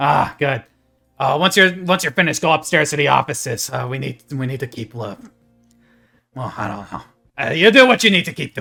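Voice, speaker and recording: Putting on a character voice, a man speaks raspy and fairly high-pitched at a fairly quick pace, broken by long, frequent pauses. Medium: actual play. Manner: curt, bossy.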